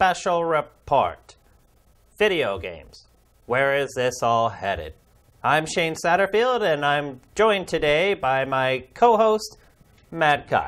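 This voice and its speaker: A man puts on a character voice with a fairly high pitch and very wide pitch swings, delivered at a fairly slow pace. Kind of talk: formal, stagey broadcaster.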